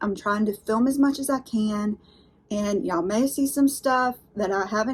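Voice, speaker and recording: A woman with a Southern US accent talks at a moderate pace with ordinary pitch variation. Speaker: unboxing YouTuber. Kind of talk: casual vlog unboxing chat. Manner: chatty, animated.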